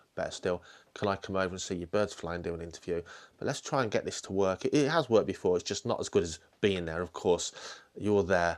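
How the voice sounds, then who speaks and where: A man with a British accent speaks very fast at a fairly low pitch, in a very clean recording with a silent background. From UK. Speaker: falconer and podcast host. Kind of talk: casual interview questions. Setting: indoors at a falconry centre.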